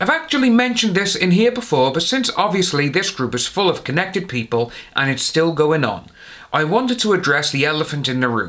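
Big pitch swings mark this man's fairly high voice, which has a fairly bright tone. He keeps a moderate pace.

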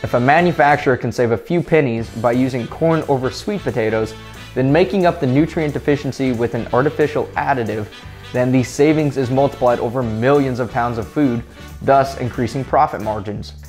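Faint music can be heard behind the voice. A man is talking at a fairly quick pace. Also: ordinary pitch variation. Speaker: pet video host. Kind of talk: informational vlog with sponsor read. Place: home room. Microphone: lapel.

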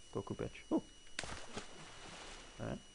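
A man with a Welsh accent. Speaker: gamer. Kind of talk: gameplay commentary. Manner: casual.

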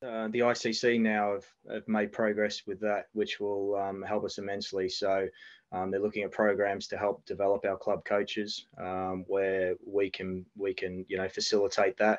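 Man with an Australian accent, fairly low pitch, monotone, flat intonation, moderate pace and a quiet background. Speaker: national cricket team head coach. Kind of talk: interview. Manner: halting, many fillers. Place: home room. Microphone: video call.

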